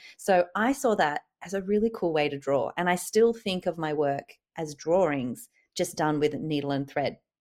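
A woman with an Australian accent speaks at a moderate pace in a fairly low voice with lively intonation. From Sydney, Australia. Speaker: artist. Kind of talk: interview.

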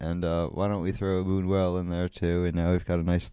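The voice has a dark, mellow tone and flat, monotone intonation. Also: man. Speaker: podcast host. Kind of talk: casual solo podcast monologue. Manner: rambling, filler-heavy, jokey.

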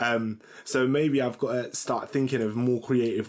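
A man speaks at a fairly slow pace in a British accent. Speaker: podcast co-host. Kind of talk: casual chat.

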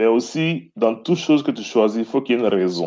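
His pitch sits at a medium level for a man, yet it swings very widely. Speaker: former basketball player, finance professional. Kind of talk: casual chat.

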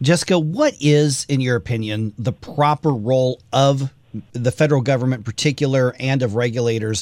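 A man speaks at a medium pitch in a plain, everyday voice. The sound is dry and close, with no echo. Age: 40s. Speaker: radio talk show host. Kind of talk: radio interview.

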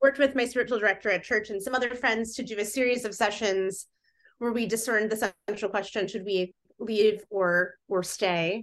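With a Midwestern American accent, a woman speaks at a fairly quick pace and with fairly even intonation. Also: fairly high pitch for a woman, quiet background. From US Midwest (Fort Wayne, northeast Indiana). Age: 40s. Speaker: writer. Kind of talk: casual interview.

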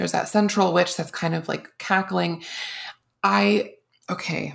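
Speaking at a fairly slow pace with lively intonation, a woman has a fairly low pitch and a plain, everyday voice on a very clean recording with a silent background. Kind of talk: casual chat.

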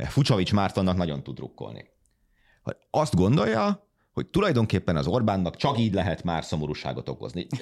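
A man's very deep, low voice with vocal fry and very wide pitch swings, on a very clean recording against a silent background. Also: fairly quick pace. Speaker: political journalist, podcast host. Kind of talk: casual political discussion. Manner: informal, humorous.

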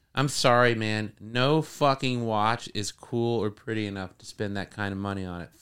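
In a plain, everyday voice, a man with an American accent speaks at a moderate pace and fairly low pitch, with ordinary pitch variation and hardly any pauses. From northeast Florida. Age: 40s. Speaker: music producer. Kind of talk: casual chat. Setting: recording studio.

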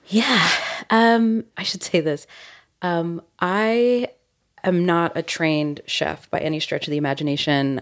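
A woman talks fairly slowly at a fairly low pitch in a plain, everyday voice. Her pitch varies normally on a very clean recording with a silent background. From US South, born in Puerto Rico. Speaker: writer and radio producer. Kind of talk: casual interview. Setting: on vacation, in person.

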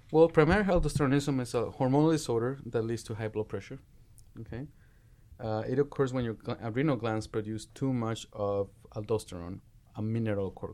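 Against a quiet background, a man with a Spanish accent speaks at a fairly quick pace in a dark, mellow tone. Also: medium pitch for a man, ordinary pitch variation. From Mexico. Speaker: medical resident. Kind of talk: medical teaching discussion.

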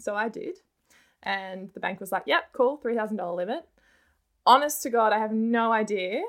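With an Australian accent, this speaker talks at a moderate pace with lively intonation, breaking often for long pauses. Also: woman, fairly high pitch for a woman. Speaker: personal finance content creator. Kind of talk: interview.

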